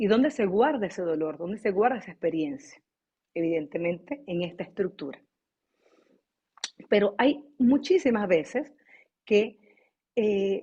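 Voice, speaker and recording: With a dark, mellow tone, the voice moves at a fairly slow pace through very wide pitch swings. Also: woman. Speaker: voice teacher. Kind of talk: online class. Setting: video call.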